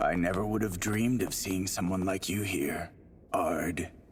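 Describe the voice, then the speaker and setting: In a cartoonish character voice, a man rasps at a moderate pace with a very deep, low pitch while clear background noise runs behind him. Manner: sly, teasing.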